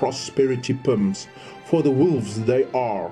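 The speech comes at a fairly slow pace, with music in the background. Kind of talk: religious prophecy reading.

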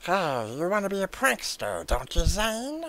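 This is a put-on character voice with a menacing tone. It sits at a middle pitch and moves at a moderate pace. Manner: mocking, menacing.

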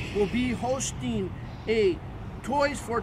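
A man's voice comes through a dry sound with no echo, set against noticeable background noise. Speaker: radio host promoting an event. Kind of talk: promotional announcement. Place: street. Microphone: phone near.

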